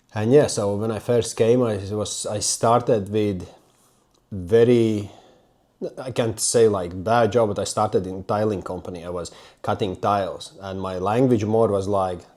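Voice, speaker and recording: With a non-native accent, a man speaks at a fairly slow pace in a fairly low, dark, mellow voice and fairly even intonation. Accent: foreign accent, non-native English. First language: not English. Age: 30s. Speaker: self-development YouTuber. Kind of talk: personal story monologue. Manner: halting.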